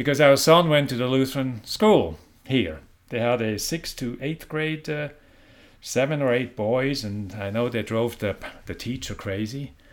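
With lively intonation, a man talks at a fairly slow pace in a medium pitch. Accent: Swiss. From Switzerland. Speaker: prison minister. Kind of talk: interview. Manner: casual.

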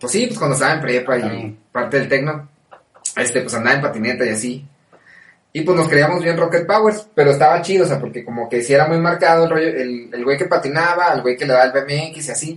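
A man talks very fast in a fairly high voice. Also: ordinary pitch variation. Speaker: podcast co-host. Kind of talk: casual chat.

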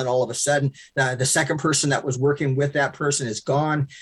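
A somewhat breathy man at a moderate pace. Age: 60s. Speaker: pastor. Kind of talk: interview.

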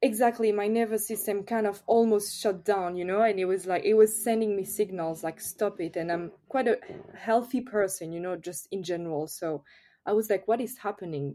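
A woman with a French accent, medium in pitch, dark and mellow in tone, with ordinary pitch variation, at a moderate pace, on a very clean recording with a silent background. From France. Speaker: yoga teacher. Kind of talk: casual interview.

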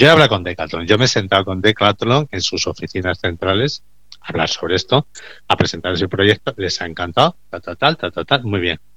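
In a quiet background, a man with a bright, sharp tone and a fairly low pitch speaks at a moderate pace. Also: lively intonation. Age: 50s. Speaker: recycling business owner. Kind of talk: radio interview.

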